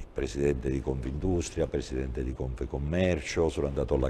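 A man's voice carries a dark, mellow tone with vocal fry and lively intonation. Light background noise can be heard. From Sicily, Agrigento; Sicily. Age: 60s. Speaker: police chief; guest. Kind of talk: TV interview. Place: studio.

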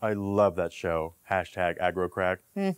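The speaker's pitch rises and falls very widely at a moderate tempo, with little sound in the background. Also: man. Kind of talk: comedy impressions reel, direct to camera. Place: home room. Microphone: lapel.

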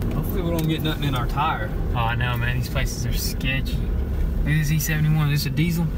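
Over loud background noise, a man speaks at a very fast pace, the sound dry with no echo. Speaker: vlogger driving. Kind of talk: casual vlog chat. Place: car. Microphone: phone near.

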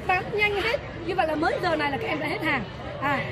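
A woman speaking over crowd noise in the background. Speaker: teacher judging camps. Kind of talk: interview questions. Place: street.

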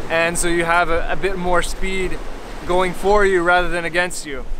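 A man's raised, projected voice carries a bright, sharp tone and monotone, flat intonation at a moderate pace, with light background noise. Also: dry sound with no echo. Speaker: sailing vlogger. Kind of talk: casual vlog chat. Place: beach. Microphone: phone near.

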